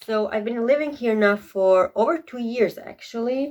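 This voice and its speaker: A woman with a Croatian accent talks at a fairly slow pace, her fairly high pitch showing ordinary variation. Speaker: beauty vlogger. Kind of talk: casual get-ready-with-me vlog.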